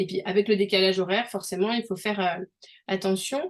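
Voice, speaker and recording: A woman talks at a very fast pace. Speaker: language learning coach. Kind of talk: online group coaching session. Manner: hesitant, many fillers.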